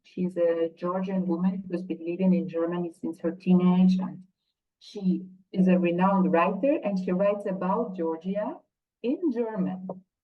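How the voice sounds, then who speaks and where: Somewhat breathy delivery at a moderate pace with fairly even intonation. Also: woman, medium pitch for a woman. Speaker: academic and book editor. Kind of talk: webinar panel discussion. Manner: hesitant, many fillers.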